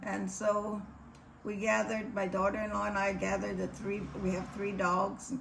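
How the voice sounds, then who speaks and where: Speech with a Hawaiian accent at a moderate pace, with noticeable background noise. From Hawaii, Maui (Lahaina). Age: 80s+. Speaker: wildfire survivor. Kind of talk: testimony.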